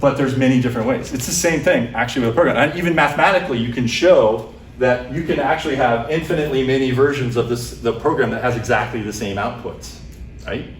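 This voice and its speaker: Amid audible room echo and noticeable background noise, a man talks very fast with ordinary pitch variation. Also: medium pitch for a man. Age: 50s. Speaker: computer science professor. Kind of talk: lecture. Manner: loud.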